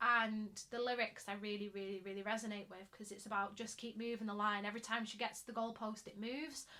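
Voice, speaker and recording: A woman with a Mancunian accent talks at a very fast pace, with hardly any pauses and big swings in loudness. Her fairly high, bright, sharp voice has monotone, flat intonation. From Manchester, England. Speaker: actor and singer. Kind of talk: casual podcast chat.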